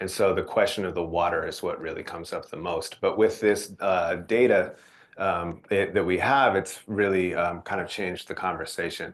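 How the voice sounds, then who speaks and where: Against a quiet background, a man keeps a moderate pace. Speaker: nonprofit presenter. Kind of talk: presentation.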